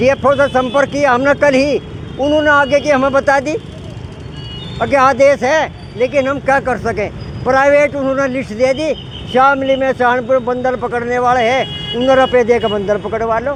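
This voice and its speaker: A man speaks with an extremely high pitch. His intonation stays fairly even over noticeable background noise. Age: 70s. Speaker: retired doctor and protester. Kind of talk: street interview.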